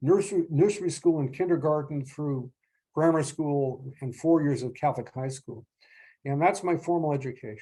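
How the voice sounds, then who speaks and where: On a very clean recording with a silent background, a man with a fairly high pitch and a dark, mellow tone speaks at a moderate pace, somewhat breathy, with ordinary pitch variation. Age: 70s. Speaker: lecturer and poet. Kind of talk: lecture. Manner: halting, many repetitions and fillers.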